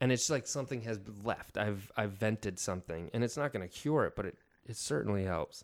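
A man with an American accent, very fast delivery and lively intonation, on a very clean recording with a silent background. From upstate New York. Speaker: actor and photographer. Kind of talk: casual chat.

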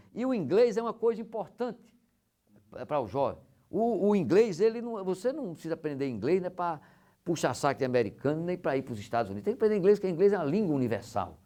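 Against a quiet background, a man talks at a very fast pace. His voice is high and swings very widely in pitch. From Rio Grande do Norte, Brazil (São Miguel). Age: 50s. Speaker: business executive. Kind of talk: casual interview. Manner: halting, many repetitions.

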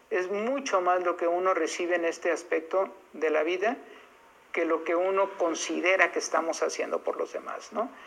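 A woman talks in an ordinary speaking voice at medium pitch. She keeps a moderate pace with ordinary pitch variation. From Mexico, Irapuato, Guanajuato. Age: 60s. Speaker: foundation director. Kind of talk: testimony.

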